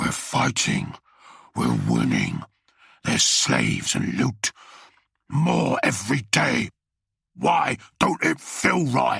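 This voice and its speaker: A put-on character voice growls and sounds strained at a very slow pace. Long, frequent pauses break up the speech. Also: man, very deep, low pitch for a man. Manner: angry, pained.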